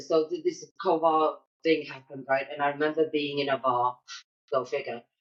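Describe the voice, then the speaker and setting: Here is a woman with a British accent. Her pitch is very deep and low. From Britain. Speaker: military spouse entrepreneur. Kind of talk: casual chat. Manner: animated.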